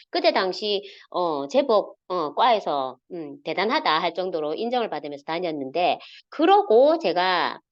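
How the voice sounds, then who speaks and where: A woman with a strong Gyeongsang accent speaks fairly slowly at a medium pitch, making very wide pitch swings. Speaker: network marketing leader. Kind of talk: online motivational talk. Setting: video call. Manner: hesitant, many fillers.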